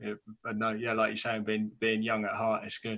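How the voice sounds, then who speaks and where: In a very clean recording with a silent background, a man with a British accent speaks fairly quickly in a fairly low, bright and sharp voice with monotone, flat intonation. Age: 20s. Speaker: podcast host. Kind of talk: casual chat.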